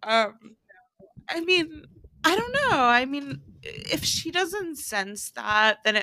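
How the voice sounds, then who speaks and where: A woman with a high, bright, sharp voice projects it loudly, with very wide pitch swings. She speaks at a very slow pace with long, frequent pauses. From Tennessee, Memphis. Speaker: podcast host. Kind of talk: casual chat. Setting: remote call recording.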